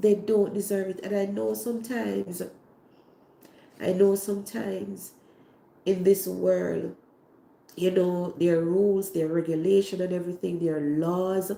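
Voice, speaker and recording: A woman speaks at a medium pitch with a Jamaican accent. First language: Jamaican Patois. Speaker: cooking channel host. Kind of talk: livestream talk to viewers. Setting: online livestream.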